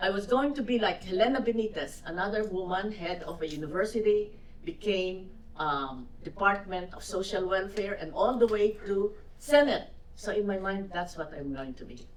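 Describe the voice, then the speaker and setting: A woman with a Filipino accent at medium pitch, lively intonation and a moderate pace, with big swings in loudness, audible room echo and noticeable background noise. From Philippines. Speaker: widow of businessman, lawyer. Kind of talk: fireside chat Q&A.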